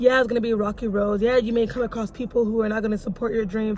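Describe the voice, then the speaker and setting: A woman with a fairly high-pitched voice. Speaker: motivational vlogger. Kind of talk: motivational talk to camera. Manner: fast; animated.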